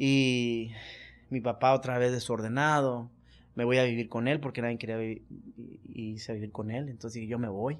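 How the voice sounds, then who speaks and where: Against a quiet background, a man speaks at a moderate pace and medium pitch in a monotone, flat intonation, with long, frequent pauses. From Culiacán, Sinaloa, Mexico. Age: 40s. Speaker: businessman and former prisoner. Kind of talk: interview testimony. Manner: halting, repetitive.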